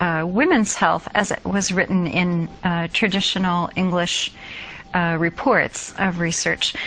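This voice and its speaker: A woman's fairly low voice, fairly even in intonation and fairly slow in pace, over noticeable background noise. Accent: American. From United States. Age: 50s. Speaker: nursing professor. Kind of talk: interview.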